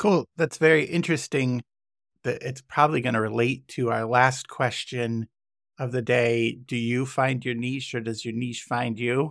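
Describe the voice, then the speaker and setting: Recorded very cleanly with a silent background and a dry, close sound with no echo, a man has an ordinary speaking voice with medium pitch, fairly even intonation and a moderate pace. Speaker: podcast host. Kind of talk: casual chat.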